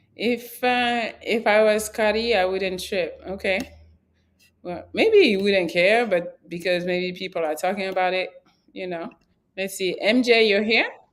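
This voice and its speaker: Speaking at a fairly slow pace, a woman with an ordinary speaking voice and medium pitch shows ordinary pitch variation. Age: 30s. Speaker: talk show host. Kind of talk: casual chat.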